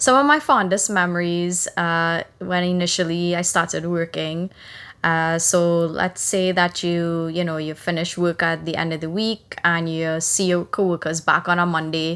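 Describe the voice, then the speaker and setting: A woman speaks at a fairly low pitch with a Trinidadian accent. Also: fairly even intonation, moderate pace. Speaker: podcast co-host. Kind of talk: casual podcast chat.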